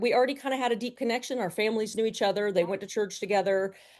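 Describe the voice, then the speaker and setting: Against a quiet background, a woman with a slight Southern US accent speaks at medium pitch with ordinary pitch variation. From US South, Atlanta, Georgia. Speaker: business CEO. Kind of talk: interview conversation.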